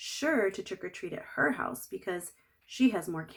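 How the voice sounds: The reading comes in a natural reading voice.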